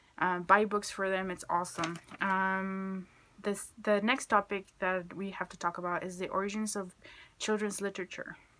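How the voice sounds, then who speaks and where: With a Spanish accent, a woman speaks at medium pitch in a bright, sharp tone, her intonation monotone and flat but her loudness swinging widely, on a very clean recording with a silent background. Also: moderate pace. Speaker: student. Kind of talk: class video presentation. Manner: hesitant, many fillers.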